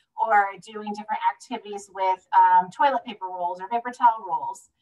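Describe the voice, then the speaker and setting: The speaker is a woman with an American accent. Her pitch sits in the medium range. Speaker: home visiting program manager. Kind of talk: presentation at online meeting. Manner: fast.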